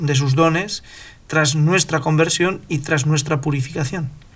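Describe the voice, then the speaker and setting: A man's fairly high-pitched, ordinary speaking voice with fairly even intonation. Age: 50s. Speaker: podcast host. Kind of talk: religious discussion.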